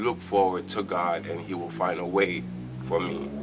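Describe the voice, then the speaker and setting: A man with a Jamaican accent speaks at a very deep, low pitch. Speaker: church member giving testimony. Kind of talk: testimony. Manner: halting.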